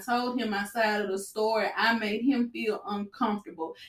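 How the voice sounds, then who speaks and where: A woman speaks with a fairly high pitch. Her tone is animated. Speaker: podcast host. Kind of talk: casual chat. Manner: loud, direct.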